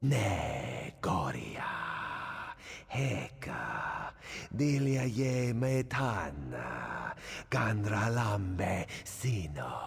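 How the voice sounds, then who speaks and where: A man speaks very slowly in a put-on character voice at a medium pitch, with light background noise. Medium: video game. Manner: proud, haughty.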